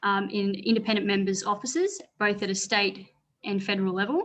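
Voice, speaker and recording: With an Australian accent, a woman speaks at a fairly quick pace and medium pitch against a quiet background. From northeast Victoria, Australia (rural). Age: 20s. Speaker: former political candidate and parliamentary adviser. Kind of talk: panel talk.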